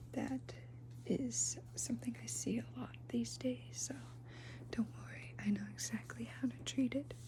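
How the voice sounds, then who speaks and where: With noticeable background noise behind it, the voice speaks at a fairly slow pace in a gentle tone. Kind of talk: ASMR roleplay, soft-spoken talk to the listener. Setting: ASMR recording with slime sounds. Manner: soft-spoken, gentle.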